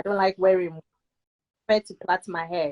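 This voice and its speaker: British accent in a dry, close sound with no echo. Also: woman. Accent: UK. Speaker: guest sharing personal health story. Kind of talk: testimony.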